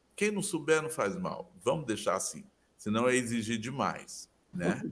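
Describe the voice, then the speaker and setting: With vocal fry and very wide pitch swings, a man talks at a fairly high pitch and a fairly slow pace. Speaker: literature professor. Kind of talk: interview.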